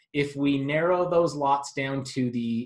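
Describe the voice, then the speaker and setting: A somewhat breathy man speaks at a fairly slow pace. His pitch is fairly high, with ordinary variation. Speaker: real estate agent. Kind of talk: sales pitch. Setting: screen-share video.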